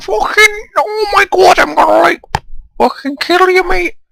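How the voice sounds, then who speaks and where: A put-on character voice at extremely high pitch delivers a Liverpool accent at a moderate pace. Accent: Liverpudlian. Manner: aggressive, threatening.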